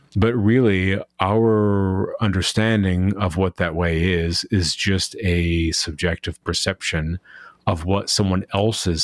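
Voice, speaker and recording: A man speaks very slowly at a very deep, low pitch, with fairly even intonation and very even loudness. The sound is dry and close with no echo, on a very clean recording with a silent background. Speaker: podcast host. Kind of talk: casual interview.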